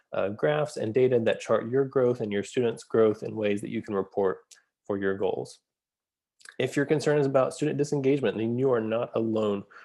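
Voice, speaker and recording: A man with an American accent speaks at a fairly quick pace in a medium pitch, his tone dark and mellow and his intonation fairly even, against a quiet background. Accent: Southern US, comes out at times. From US South, Atlanta area. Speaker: school psychologist and educational consultant. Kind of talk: course introduction video.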